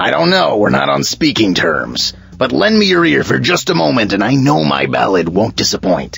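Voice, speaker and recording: A man performs a cartoonish character voice at a fairly low pitch. He talks at a moderate pace. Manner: boastful, theatrical.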